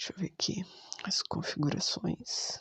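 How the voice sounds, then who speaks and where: A whisper at a very slow pace. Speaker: ASMR gamer. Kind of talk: casual talk to camera while playing a game. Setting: microphone with a pop filter.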